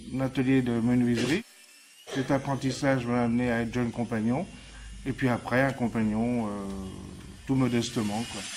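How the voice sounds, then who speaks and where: Speaking at a moderate pace with long, frequent pauses, a man keeps a medium pitch and a monotone, flat intonation. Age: 60s. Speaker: retired carpenter, model maker. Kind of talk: casual demonstration interview. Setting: workshop. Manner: hesitant, many fillers.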